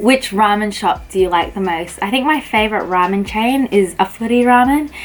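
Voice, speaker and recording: There is noticeable background noise behind this woman. She talks at a fairly quick pace in an Australian accent. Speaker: pharmacist. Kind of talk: casual talk to camera.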